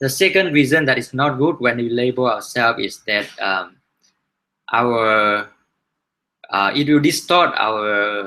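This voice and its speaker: Delivery is fairly slow, with long, frequent pauses and a non-native accent. The intonation is lively and the tone bright and sharp. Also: man, medium pitch for a man. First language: not English. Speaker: book reviewer, learning-sharing host. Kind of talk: book review talk. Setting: live online hangout broadcast. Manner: halting, many fillers and restarts.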